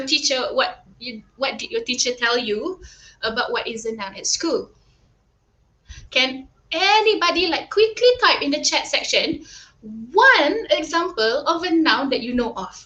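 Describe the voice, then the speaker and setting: In a raised, projected voice with a bright, sharp tone, a woman speaks at a moderate pace and an extremely high pitch with very wide pitch swings. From Malaysia, Kuala Lumpur. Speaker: primary school English teacher. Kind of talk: online tutoring lesson. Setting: live online stream. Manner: animated.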